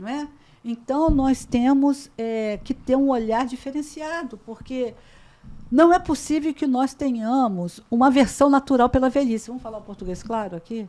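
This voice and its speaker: This woman has a high pitch and a dark, mellow tone. She talks at a moderate pace. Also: ordinary pitch variation, big swings in loudness. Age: 60s. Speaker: talk show host. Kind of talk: panel discussion. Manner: animated.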